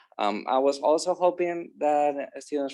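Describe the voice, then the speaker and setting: A Spanish accent against a quiet background. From Spain. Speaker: academic advisor, panel moderator. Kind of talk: panel discussion moderation. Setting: video call. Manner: halting, many fillers.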